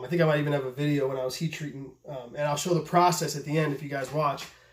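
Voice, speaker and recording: A man talks at a very fast pace in a fairly high voice. Noticeable background noise sits behind him. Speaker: knife maker and video host. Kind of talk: casual vlog talk. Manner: stuttering, halting; excited, profane.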